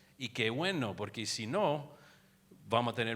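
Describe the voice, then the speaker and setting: On a very clean recording with a silent background, a man with an American accent talks at a moderate pace in a bright, sharp tone with ordinary pitch variation. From United States. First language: English (speaking Spanish). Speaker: infectious disease physician. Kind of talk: lecture. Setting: conference room with audience. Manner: halting, frequent repetitions and fillers.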